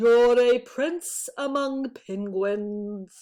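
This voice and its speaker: Her put-on character voice is pitched high for this woman. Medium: read story.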